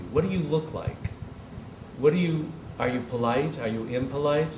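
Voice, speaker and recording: A man's voice at a moderate pace with ordinary pitch variation, plus audible room echo and noticeable background noise. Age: 60s. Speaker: design retailer and gallerist. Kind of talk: public conversation before an audience. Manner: animated.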